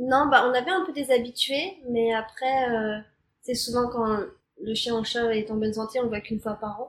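Her voice is high in pitch, and this woman keeps a moderate pace with ordinary pitch variation. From Normandy, France. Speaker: podcast guest. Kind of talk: casual interview. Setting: in person.

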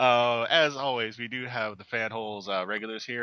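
This man has a plain, everyday voice, speaking at medium pitch and a moderate pace with fairly even intonation. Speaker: podcast host. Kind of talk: casual group chat about pop culture.

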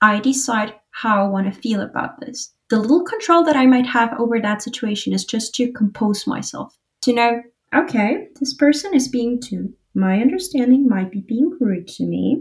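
Lively in intonation, a woman with a high pitch speaks at a moderate pace. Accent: Spanish. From Uruguay. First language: Spanish. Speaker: financial advisor. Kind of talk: casual chat.

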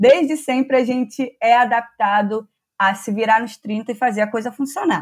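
A normal speaking voice talks at a moderate pace with ordinary pitch variation. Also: woman, fairly high pitch for a woman, very clean recording, silent background. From Rio de Janeiro state, Teresópolis. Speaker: PhD student in agronomy. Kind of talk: interview.

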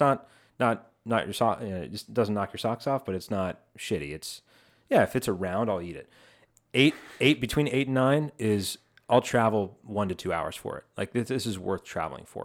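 Over a very clean recording with a silent background, a man talks at a moderate pace. His intonation is lively, and his loudness swings widely. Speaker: co-host sitting in. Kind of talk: casual chat. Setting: studio.

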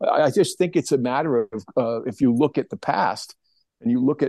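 With a dark, mellow tone and vocal fry, a man speaks at a moderate pace and fairly high pitch, swinging very widely in pitch, in a dry, close sound with no echo against a quiet background. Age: 60s. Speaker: plein air painter and art teacher. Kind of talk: casual interview chat. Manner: hesitant, many fillers.

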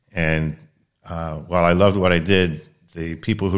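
An American accent with fairly even intonation, on a very clean recording with a silent background. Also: man. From US East Coast, Baltimore, Maryland. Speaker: anesthesiologist. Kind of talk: casual interview conversation.

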